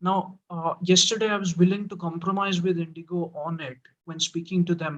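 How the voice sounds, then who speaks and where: Here a man speaks at a high pitch and a moderate pace. His intonation stays fairly even. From India. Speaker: blind law student and tech YouTuber. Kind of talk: casual discussion.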